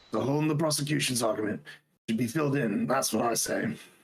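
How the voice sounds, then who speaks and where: Putting on a character voice with a British accent, a man talks at a very fast pace in a raspy, medium-pitched voice with ordinary pitch variation. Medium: fan dub. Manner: blustering, hesitant.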